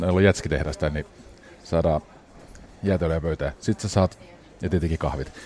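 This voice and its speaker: A man with a very deep, low pitch talks at a very fast pace in a dark, mellow tone with vocal fry. His intonation is fairly even, and the sound is dry and close with no echo. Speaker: podcast host. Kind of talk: casual interview; sponsor read.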